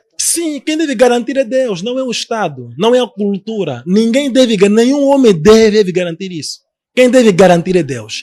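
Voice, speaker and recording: A man's high-pitched voice at a moderate pace. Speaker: apostle, religious leader. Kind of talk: heated debate. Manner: halting, repeats words.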